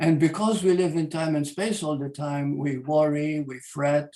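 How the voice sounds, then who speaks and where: A fairly high-pitched man's voice with fairly even intonation. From Malta. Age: 80s+. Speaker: spiritual teacher. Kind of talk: spiritual talk. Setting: video call. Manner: halting.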